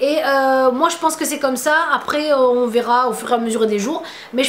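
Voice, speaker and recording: With a Tunisian accent, a woman with a high voice speaks at a fairly quick pace and ordinary pitch variation amid noticeable background noise. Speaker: beauty vlogger. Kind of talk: casual vlog Q&A. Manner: hesitant, many fillers.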